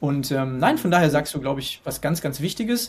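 A man's normal speaking voice, fairly high in pitch, with lively intonation. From Hesse, Germany. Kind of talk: casual interview.

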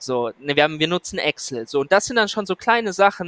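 A man with a high voice, lively intonation and a moderate pace. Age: 20s. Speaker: AI startup founder. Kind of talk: interview.

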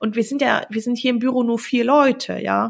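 Fairly high-pitched woman with vocal fry at a moderate pace. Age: 30s. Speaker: entrepreneur and investing coach. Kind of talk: interview.

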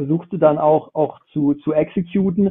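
Fairly even intonation in a man's fairly high-pitched, a normal speaking voice. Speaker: esports business founder. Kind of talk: panel discussion. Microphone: phone mic, quality could be better.

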